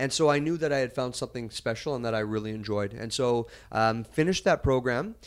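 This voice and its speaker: A man's plain, everyday voice with a Canadian accent, medium in pitch with ordinary pitch variation, at a fairly quick pace, in a very clean recording with a silent background. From Western Canada (Kelowna, British Columbia). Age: 40s. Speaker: mayor, former TV journalist. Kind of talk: casual interview. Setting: studio.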